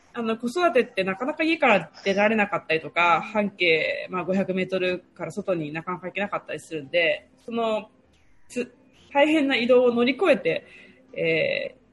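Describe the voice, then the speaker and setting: Somewhat breathy, a woman speaks at a moderate pace with very wide pitch swings. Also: fairly high pitch for a woman. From Japan, Toyama Prefecture. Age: 30s. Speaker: public relations worker and regional development freelancer. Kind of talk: casual interview. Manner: lively, frequent fillers.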